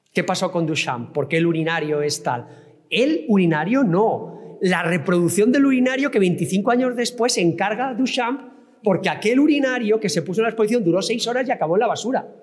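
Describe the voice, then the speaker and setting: Amid noticeable background noise and audible room echo, a man with a high pitch talks at a fairly quick pace with lively intonation. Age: 60s. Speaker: professor and digital art expert. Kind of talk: lecture.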